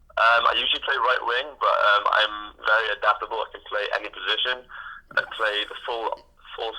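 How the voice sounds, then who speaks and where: A man with a strong Welsh accent, at a moderate pace. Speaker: ice hockey player. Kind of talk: phone interview. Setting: phone call. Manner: halting.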